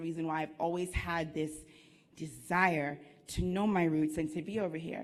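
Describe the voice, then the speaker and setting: A woman with an American accent speaks at a moderate pace in a fairly low pitch, her intonation monotone and flat. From US, Washington DC. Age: 30s. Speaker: entrepreneur, conference speaker. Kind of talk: motivational talk.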